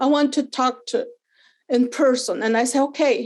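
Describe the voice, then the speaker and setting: A woman with a non-native accent, speaking at a fairly slow pace. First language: not English. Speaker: parent telling her experience. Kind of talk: testimony. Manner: halting.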